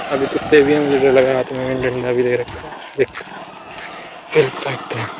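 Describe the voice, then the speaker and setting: A man speaks at a fairly slow pace in a medium pitch with monotone, flat intonation and big swings in loudness. Noticeable background noise runs underneath. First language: Hindi. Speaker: self-improvement YouTuber. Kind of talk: informal explainer vlog. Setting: outdoors on a road. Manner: stuttering.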